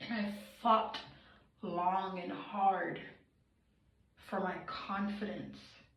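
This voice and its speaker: A woman speaks at a medium pitch and a very slow pace, leaving long, frequent pauses. Her intonation is monotone and flat, with audible room echo. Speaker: vlogger. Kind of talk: personal confessional monologue. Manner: emotional, earnest.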